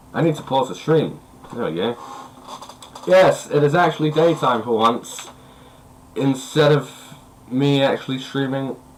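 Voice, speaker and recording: Noticeable background noise sits under a man's fairly high voice with ordinary pitch variation. He moves at a moderate pace, broken by long, frequent pauses. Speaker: gaming streamer. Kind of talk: live game stream chat.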